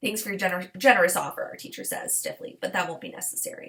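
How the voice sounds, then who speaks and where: Putting on a raspy character voice, a woman talks very fast at a high pitch with big swings in loudness. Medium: read story. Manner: clipped, stiff.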